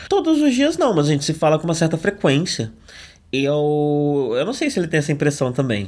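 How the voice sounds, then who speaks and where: Lively intonation runs through this man's fairly high-pitched voice. He speaks at a fairly quick pace. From Brazil, São Paulo. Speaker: podcast host. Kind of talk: casual chat. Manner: projected, firm podcast voice.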